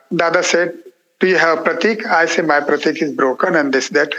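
A man with a high voice and ordinary pitch variation speaks with an Indian accent. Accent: Indian (Marathi) English. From India, Marathi-speaking (Maharashtra). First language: Marathi. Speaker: monk. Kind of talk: interview testimony. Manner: halting.

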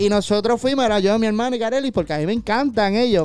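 A man with a Puerto Rican accent, music playing behind him. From Puerto Rico, Caguas. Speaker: podcast host. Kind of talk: casual interview chat.

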